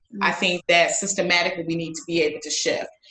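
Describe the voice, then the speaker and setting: Here is a woman with a normal speaking voice, fairly low in pitch, with an American accent. She talks at a fairly quick pace with fairly even intonation. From US Midwest (Chicago area, Illinois). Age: 30s. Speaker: lawyer and educator. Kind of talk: casual interview chat.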